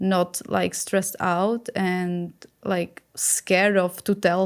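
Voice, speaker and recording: A woman's fairly low voice in a Czech accent, monotone and flat, in a very clean recording with a silent background. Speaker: skin health activist. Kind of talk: podcast interview. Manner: halting.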